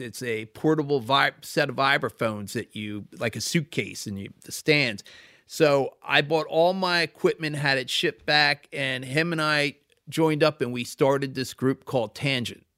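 With an American accent, a man speaks in a fairly high pitch with ordinary pitch variation and a bright, sharp tone, recorded very cleanly on a silent background with a dry, close sound and no echo. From Philadelphia suburbs, Pennsylvania. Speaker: record label founder. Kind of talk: interview. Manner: halting.

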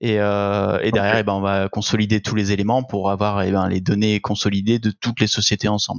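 Fairly quick and with hardly any pauses, a man speaks at a fairly low pitch in a flat, monotone way. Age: 20s. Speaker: accountant. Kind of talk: casual interview.

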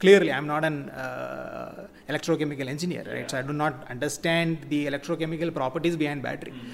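Very fast speech from a man with a fairly high pitch and fairly even intonation, against noticeable background noise. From Kerala, India (Cochin). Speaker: electric cab company founder. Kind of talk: interview.

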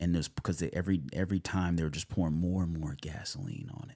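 In an American accent, a man with a very deep, low voice and a dark, mellow tone talks at a very fast pace, with very wide pitch swings and big swings in loudness. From California. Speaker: actor and self-tape coach. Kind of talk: casual podcast interview. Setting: studio.

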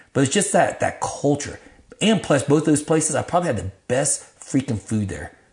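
His voice is fairly high-pitched with vocal fry. The man talks at a moderate pace with lively intonation. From Vietnam, raised in Dallas area, Texas. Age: 50s. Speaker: podcast guest, ministry leader. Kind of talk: casual chat, life testimony. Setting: garage lounge.

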